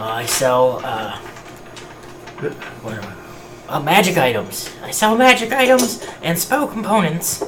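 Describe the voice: Over clear background noise, a man puts on a gravelly character voice, high-pitched with very wide pitch swings, at a fairly slow pace.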